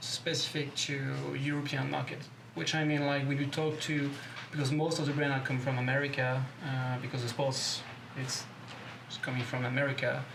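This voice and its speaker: Noticeable background noise and audible room echo surround a man with a fairly high pitch. He talks at a moderate pace in a monotone, flat intonation. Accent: French. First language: French. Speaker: BMX company co-owner. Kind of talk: interview. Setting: studio. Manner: halting.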